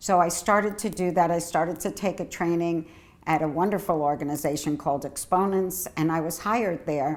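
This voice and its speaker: A woman's ordinary speaking voice, fairly low in pitch, with ordinary pitch variation at a moderate pace. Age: 60s. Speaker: HIV health services director and advocate. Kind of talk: personal testimony.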